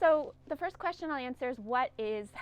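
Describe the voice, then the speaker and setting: Against a quiet background, a woman with a Northern California accent speaks at a high pitch with lively intonation. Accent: Northern Californian American English. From US West Coast (Humboldt Bay, Northern California). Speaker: linguistics professor. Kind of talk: lecture. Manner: hesitant, many fillers.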